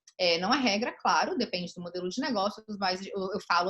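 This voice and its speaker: Her pitch shifts in an ordinary way. The woman's voice sits at a medium pitch. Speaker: lawyer giving a talk. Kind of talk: online lecture. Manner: fast.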